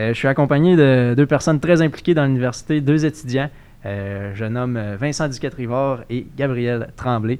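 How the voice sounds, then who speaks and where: A man in a normal speaking voice talks at a fairly slow pace, with medium pitch and ordinary pitch variation. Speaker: podcast host. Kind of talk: casual chat.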